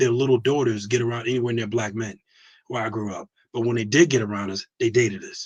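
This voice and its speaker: Somewhat breathy and animated, a man talks at a fairly quick pace and medium pitch, with a dry, close sound with no echo. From US Northeast. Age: 40s. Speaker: navy veteran. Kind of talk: casual chat.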